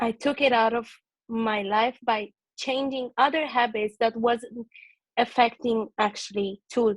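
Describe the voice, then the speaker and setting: A woman with a non-native accent talks at a fairly slow pace and a fairly high pitch, her intonation fairly even and the sound dry and close with no echo. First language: not English. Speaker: book club participant. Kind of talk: group video call discussion. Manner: halting.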